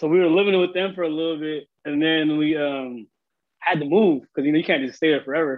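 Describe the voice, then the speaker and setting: Fairly quick in pace, a man talks with a Seattle accent. His pitch is fairly high, his intonation fairly even. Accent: Seattle urban American English. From US Pacific Northwest, South Seattle (Filipino immigrant). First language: Tagalog and Ilocano. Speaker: videographer and entrepreneur. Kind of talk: casual chat.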